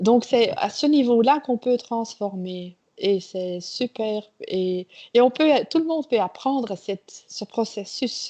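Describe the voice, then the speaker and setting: A woman with a Flemish accent at a fairly high pitch and a very slow pace, the sound dry and close with no echo against a quiet background. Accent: Flemish Dutch accent in French. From Belgium (Flemish). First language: Dutch (speaking French). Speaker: trainer. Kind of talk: interview. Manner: halting.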